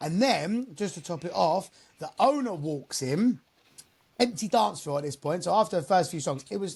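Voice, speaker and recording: A loud man with an English accent speaks at a moderate pace in a high pitch. His pitch swings very wide. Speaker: mobile DJ. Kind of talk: casual chat.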